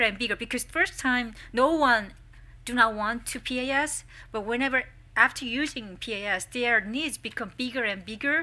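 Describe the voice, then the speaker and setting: On a very clean recording with a silent background, a woman with a Korean accent speaks at a moderate pace in a high pitch and a bright, sharp tone, with ordinary pitch variation. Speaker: social welfare professor, symposium presenter. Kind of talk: academic presentation. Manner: halting.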